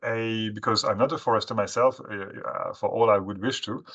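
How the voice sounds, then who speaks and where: In a bright, sharp tone, a man speaks at a moderate pace and medium pitch with ordinary pitch variation over a quiet background. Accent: French. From France. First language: French. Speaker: webinar speaker on forestry. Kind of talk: webinar presentation. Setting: online webinar. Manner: halting, many fillers.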